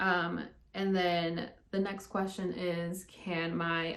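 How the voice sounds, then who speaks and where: Audible room echo surrounds a woman's voice. Her pitch is medium, with ordinary variation. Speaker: speech-language pathologist. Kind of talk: casual talk to followers. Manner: many filler ums.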